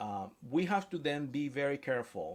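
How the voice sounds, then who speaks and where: A man with a fairly high pitch and a Spanish accent, lively in intonation, at a fairly slow pace. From Spanish-speaking country. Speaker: author and AI expert. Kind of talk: interview. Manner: hesitant, with fillers and restarts.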